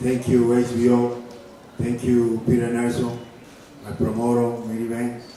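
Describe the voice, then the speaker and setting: A man with a Cuban accent speaks fairly slowly at a medium pitch, monotone and flat, with long, frequent pauses. Noticeable background noise and audible room echo fill the recording. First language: Spanish. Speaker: professional boxer. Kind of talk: press conference remarks. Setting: press conference venue. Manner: halting.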